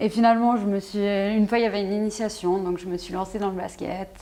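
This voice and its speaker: A woman with a dark, mellow tone and a fairly high pitch speaks at a fairly quick pace on a very clean recording with a silent background. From Switzerland, Fribourg. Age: 20s. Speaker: basketball player. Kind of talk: interview. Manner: hesitant, many fillers.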